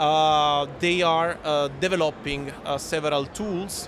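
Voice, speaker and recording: Over noticeable background noise, a man with an Italian accent speaks very slowly at a fairly high pitch with fairly even intonation. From Italy. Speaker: aviation industry executive. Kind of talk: podcast interview. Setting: live event recording. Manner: halting, many fillers.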